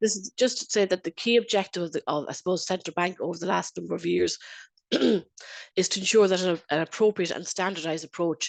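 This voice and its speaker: A woman with an Irish accent speaks fairly quickly at a medium pitch with ordinary pitch variation. Her voice has vocal fry, and the sound is dry and close with no echo. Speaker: internal auditor and lecturer. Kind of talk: webinar presentation. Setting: video call.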